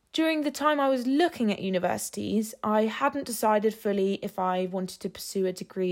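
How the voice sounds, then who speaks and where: A woman talks at a fairly quick pace in an English accent, her pitch medium and her intonation lively. The recording is very clean and the background silent. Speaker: graphic designer, social media manager. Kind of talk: scripted monologue.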